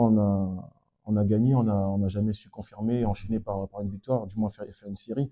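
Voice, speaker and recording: This man's fairly low pitch and fairly even intonation come at a moderate pace. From French Guiana. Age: 30s. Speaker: amateur footballer. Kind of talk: post-match interview. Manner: hesitant, many fillers.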